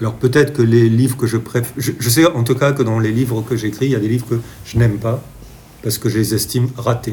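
A man's medium-pitched voice runs at a very fast pace, its intonation fairly even. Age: 60s. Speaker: children's book author. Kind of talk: interview. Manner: halting.

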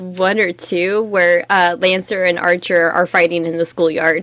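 A woman's ordinary speaking voice, medium in pitch, at a moderate pace. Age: 20s. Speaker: podcast co-host. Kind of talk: casual chat. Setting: live stream.

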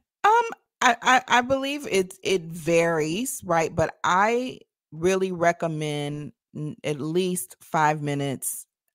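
Very wide pitch swings in a dry, close sound with no echo, in a very clean recording with a silent background. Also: woman. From Tennessee, Nashville area. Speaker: leadership coach and speaker. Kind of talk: interview.

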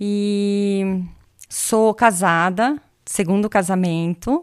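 A woman talks at medium pitch. The recording is very clean, with a silent background. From Brazil. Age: 40s. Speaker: tech industry executive. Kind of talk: casual interview. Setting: recorded in her home.

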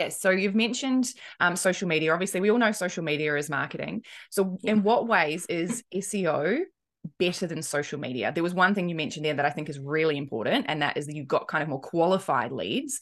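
A woman with a New Zealand accent speaks at a fairly low pitch and a fairly quick pace. Her intonation is lively, and the background is quiet. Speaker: podcast host. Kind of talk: casual, conversational.

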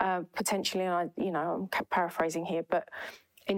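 This woman talks with an Essex accent at a fairly low pitch and a moderate pace. Noticeable background noise runs under her voice. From East London. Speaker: cloud transformation consultant. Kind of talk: podcast interview. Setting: in-person office recording.

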